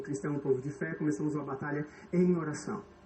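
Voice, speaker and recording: A male voice, fairly high in pitch, moves at a moderate pace with ordinary pitch variation as noticeable background noise carries on. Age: 30s. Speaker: pastor. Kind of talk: sermon.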